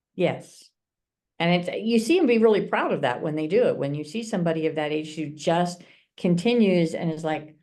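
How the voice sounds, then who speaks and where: A woman with a fairly low, dark, mellow voice speaks at a moderate pace with ordinary pitch variation, and audible room echo fills the recording. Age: 50s. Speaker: martial arts master instructor. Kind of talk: casual chat.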